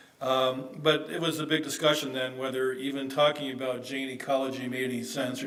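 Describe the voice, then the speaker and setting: A man with an American accent speaks at medium pitch in a monotone, flat intonation. Audible room echo and noticeable background noise surround his voice. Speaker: academic conference speaker. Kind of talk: conference presentation. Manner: hesitant, many fillers; fast, hurried.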